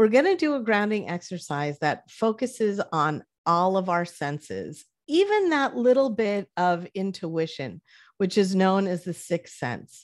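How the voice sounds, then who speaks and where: This is an ordinary speaking voice with lively intonation, heard in a very clean recording with a silent background. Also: woman, medium pitch for a woman. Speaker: therapist and video host. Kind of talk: guided meditation. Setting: video recording. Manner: slow, soothing, gentle, calm pacing; warm, encouraging, and conversational.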